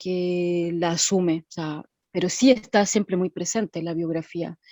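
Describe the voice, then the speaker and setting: A woman speaks fairly slowly at a medium pitch with a dark, mellow tone and fairly even intonation. The sound is dry and close with no echo, over a quiet background. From Chile. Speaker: former actress. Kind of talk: personal testimony. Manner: halting.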